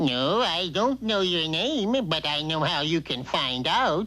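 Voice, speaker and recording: A cartoonish character voice at middle pitch moves at a fairly slow pace. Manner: folksy, laconic.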